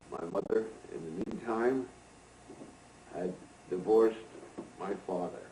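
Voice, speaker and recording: Noticeable background noise sits behind a man with ordinary pitch variation. He pauses long and often. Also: medium pitch for a man, fairly slow pace. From upstate New York, Greene County. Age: 80s+. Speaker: elder recounting his life. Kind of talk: oral history recollection. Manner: halting.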